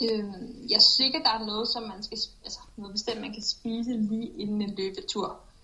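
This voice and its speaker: Over noticeable background noise, a woman speaks at a fairly high pitch with fairly even intonation and big swings in loudness. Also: moderate pace. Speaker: elite runner. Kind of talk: pre-recorded interview answers. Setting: remote recording from training camp. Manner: concise.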